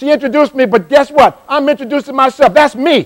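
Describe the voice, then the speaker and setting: A man speaks at a fairly quick pace in an animated tone, his pitch extremely high. The sound is dry and close, with no echo. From South Carolina Lowcountry (Johns Island). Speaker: motivational speaker. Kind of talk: live motivational workshop talk. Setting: stage with live audience. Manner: fast.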